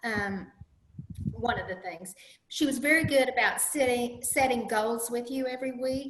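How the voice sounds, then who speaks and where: A woman talks at a moderate pace. Room echo is audible. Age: 60s. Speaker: diet coaching client. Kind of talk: interview.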